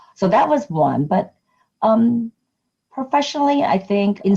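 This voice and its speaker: A woman speaks at a moderate pace in a somewhat breathy voice with a dark, mellow tone and very wide pitch swings. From immigrant, moved to US at age nine. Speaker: nonprofit community advocate leader. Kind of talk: interview.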